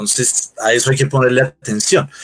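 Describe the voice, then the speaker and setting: A man's voice of medium pitch. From Colombia, Bogotá. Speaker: UFO and spirituality researcher. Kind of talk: interview. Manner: halting, many fillers.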